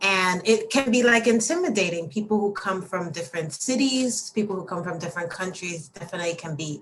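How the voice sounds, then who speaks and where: Noticeable background noise sits behind a woman with a New York accent. She speaks in a medium pitch with lively intonation, at a fairly quick pace and with hardly any pauses. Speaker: admissions coordinator at a language school. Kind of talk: interview.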